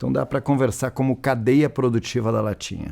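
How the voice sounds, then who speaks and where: In a southern Brazilian accent, a voice with a dark, mellow tone and ordinary pitch variation comes through on a very clean recording with a silent background. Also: man. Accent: gaúcho accent, noticeable. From Rio Grande do Sul, southern Brazil. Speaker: panel moderator, industry association representative. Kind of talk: panel discussion moderation.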